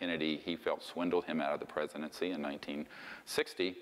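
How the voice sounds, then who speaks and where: A man is talking. Noticeable noise sits in the background. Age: 60s. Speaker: lecturer on UFO secrecy. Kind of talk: lecture. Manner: casual, conversational with fillers.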